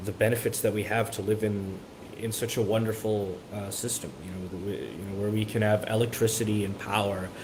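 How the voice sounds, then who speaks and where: Audible room echo surrounds a man speaking at a fairly quick pace in a monotone, flat intonation. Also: fairly low pitch for a man. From Miami, Florida. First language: Spanish. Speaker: college student. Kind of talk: interview. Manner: halting, many repetitions.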